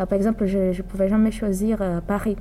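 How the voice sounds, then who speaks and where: A woman's medium-pitched voice with a Portuguese accent, fairly slow and monotone, with flat intonation. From Brazil. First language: Portuguese (speaking French). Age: 20s. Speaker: psychology student. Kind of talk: interview. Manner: halting.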